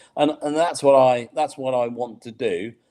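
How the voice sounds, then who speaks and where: Speaking with a British accent, a man keeps to a fairly slow pace. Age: 60s. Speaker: accessibility consultant. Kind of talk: interview. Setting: online live webinar.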